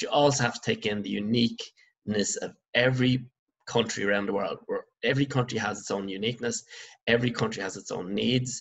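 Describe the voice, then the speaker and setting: With an Irish accent, a man talks at a fairly quick pace. The background is quiet. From Ireland. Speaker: secondary school business teacher. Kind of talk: online lecture. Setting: recorded remote lesson over slides. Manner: halting, many fillers. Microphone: webcam.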